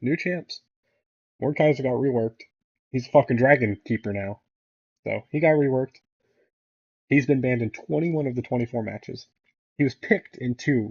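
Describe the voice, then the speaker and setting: At a fairly quick pace, a man mumbles in a somewhat breathy, medium-pitched voice with ordinary pitch variation. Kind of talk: casual commentary rant to camera. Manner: mumbling.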